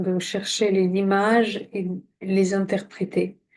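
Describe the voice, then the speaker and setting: This woman's voice has a dark, mellow tone. She speaks at a very slow pace. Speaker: coach and drawing trainer. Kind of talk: tutorial. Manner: soft-spoken.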